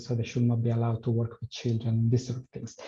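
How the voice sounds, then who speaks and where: Music plays in the background as a man talks at a medium pitch with an Italian accent. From Italy. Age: 40s. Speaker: health promotion worker and PrEP patient. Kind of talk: personal testimony in online forum.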